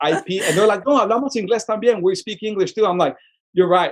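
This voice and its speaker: A man speaks with a Spanish accent in an animated tone. His pitch varies in an ordinary way. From Sonora, Mexico and Tucson, Arizona. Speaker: filmmaker and arts nonprofit director. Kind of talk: casual podcast interview. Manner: animated, repetitive restarts.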